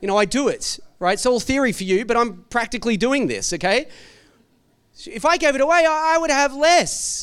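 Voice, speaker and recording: An animated tone and lively intonation in an Australian accent. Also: man. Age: 40s. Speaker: pastor. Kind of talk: sermon.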